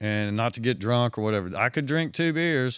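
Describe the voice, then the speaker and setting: With a strong Southwest Virginia accent, a man talks at a fairly quick pace and a medium pitch. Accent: heavy Southwest Virginia. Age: 60s. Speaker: retired undercover police officer. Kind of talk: interview storytelling.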